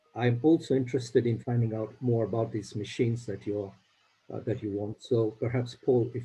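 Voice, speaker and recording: In an East African accent, a man talks at a fairly quick pace with fairly even intonation and a dark, mellow, somewhat breathy tone. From Uganda. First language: Swahili. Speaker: charity grant funder. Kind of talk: video call meeting. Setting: video call.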